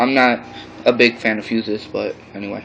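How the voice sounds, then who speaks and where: Noticeable background noise sits behind a man's voice. He speaks fairly slowly in a flat monotone. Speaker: amateur gear reviewer. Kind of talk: product review. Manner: halting, many fillers.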